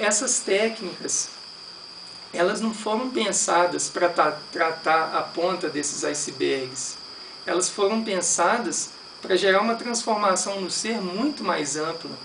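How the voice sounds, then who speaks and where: The speech comes at a very slow pace, with a Brazilian accent. Background noise is noticeable. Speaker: meditation teacher. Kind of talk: lecture.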